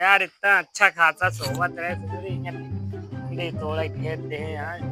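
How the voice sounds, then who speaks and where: A whiny, put-on character voice with very wide pitch swings, at a moderate pace over faint background music. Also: man, medium pitch for a man. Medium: cartoon. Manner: whiny, repeats his pleas.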